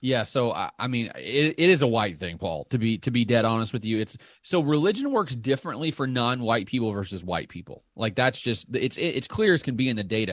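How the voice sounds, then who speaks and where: A man speaks at a fairly quick pace with a slight Southern US accent and hardly any pauses. His voice sits at a medium pitch with lively intonation, and the background is quiet. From Southern Illinois. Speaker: political science professor and data analyst. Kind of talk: interview.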